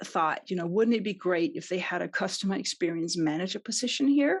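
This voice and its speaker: Lively intonation and a moderate pace come through in this voice with a Danish accent. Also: woman. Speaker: customer experience consultant. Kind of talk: podcast interview.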